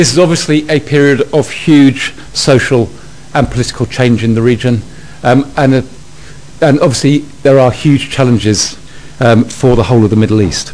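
A man speaks at a moderate pace with ordinary pitch variation and very even loudness. He leaves long, frequent pauses. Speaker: host introducing the lecturer. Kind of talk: formal introduction. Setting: lecture hall with audience. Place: hall.

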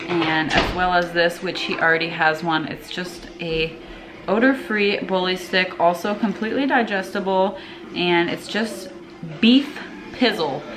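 The speech moves at a fairly slow pace with ordinary pitch variation, set against noticeable background noise. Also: woman. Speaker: pet owner vlogger. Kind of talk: casual vlog chat. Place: home room. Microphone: phone near.

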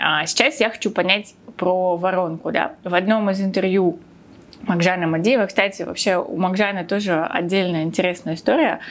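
A woman speaks in an ordinary speaking voice at a moderate pace, her medium pitch showing ordinary variation and her loudness very even. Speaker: podcast host on personal finance. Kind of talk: podcast interview. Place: studio. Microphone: lapel.

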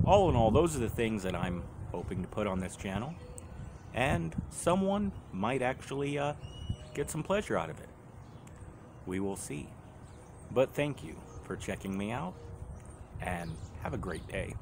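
Amid noticeable background noise, a man talks at a moderate pace with very wide pitch swings and long, frequent pauses. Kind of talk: casual vlog chat. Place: street. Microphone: phone near.

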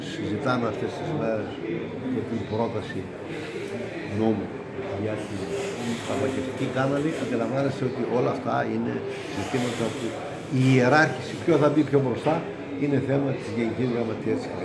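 Loud background noise runs under a man who talks at a moderate pace with long, frequent pauses. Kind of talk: interview answer. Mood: calm, formal. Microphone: handheld.

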